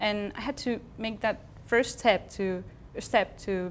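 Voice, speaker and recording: At a very slow pace, a woman with a Spanish accent and a medium-pitched voice speaks with fairly even intonation. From Spain. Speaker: TV show co-host. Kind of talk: casual chat. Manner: halting.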